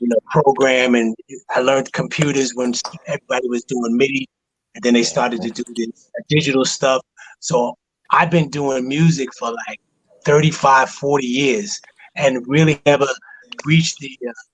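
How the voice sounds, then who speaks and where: A man at a medium pitch talks at a moderate pace with ordinary pitch variation and long, frequent pauses, the sound dry and close with no echo. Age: 50s. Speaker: father, music producer and church deacon. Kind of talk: casual chat. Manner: halting.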